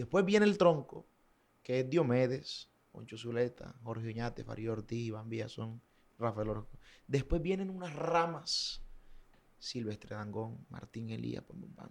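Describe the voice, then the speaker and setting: A man with a plain, everyday voice speaks at a fairly slow pace with lively intonation and big swings in loudness. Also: medium pitch for a man. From Colombian Caribbean coast, Valledupar. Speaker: vallenato singer. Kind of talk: casual interview chat.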